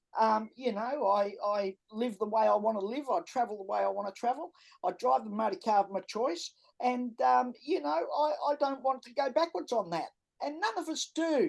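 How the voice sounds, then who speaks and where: With an Australian accent, a woman speaks at a moderate pace in a fairly high voice that swings very widely in pitch. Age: 70s. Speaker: entrepreneur and author. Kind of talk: podcast interview. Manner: straight-talking.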